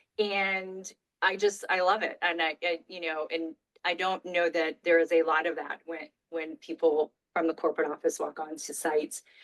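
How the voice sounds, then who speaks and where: A woman with an American accent, fairly low in pitch, in a flat monotone, with a dry, close sound and no echo. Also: moderate pace. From US South, Florida (Daytona). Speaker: property marketing director. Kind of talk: casual chat.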